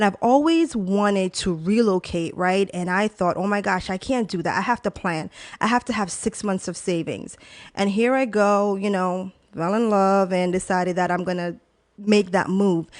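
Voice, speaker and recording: In an American accent and an animated tone, the speaker talks at a moderate pace with ordinary pitch variation against a quiet background. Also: woman, medium pitch for a woman. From Jamaica, then New Jersey. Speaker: talk show host. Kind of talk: casual personal monologue.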